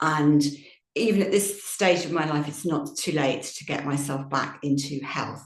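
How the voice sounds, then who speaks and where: A woman talks with lively intonation, and the room echo can be heard. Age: 60s. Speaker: yoga teacher. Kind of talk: Q&A session talk.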